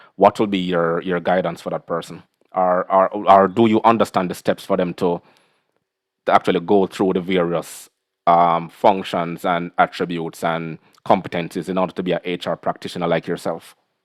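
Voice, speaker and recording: With a Caribbean accent, a man speaks at a moderate pace in a very deep, low pitch and monotone, flat intonation, the sound dry and close with no echo over a quiet background. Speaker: podcast host. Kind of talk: interview conversation.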